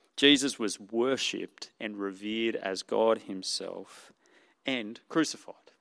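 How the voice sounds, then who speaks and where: This man has an Australian accent and a medium pitch with ordinary pitch variation. He talks at a fairly slow pace. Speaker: preacher. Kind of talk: sermon. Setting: church.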